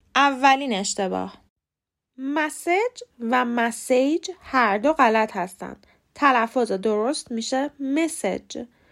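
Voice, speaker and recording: Very slowly, a woman speaks in a high voice with ordinary pitch variation. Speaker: English pronunciation teacher, podcast host. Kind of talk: tutorial.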